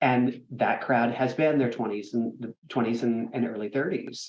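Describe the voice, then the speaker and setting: A man is speaking. His pace is moderate. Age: 50s. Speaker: theatre executive director. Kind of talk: interview. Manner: halting.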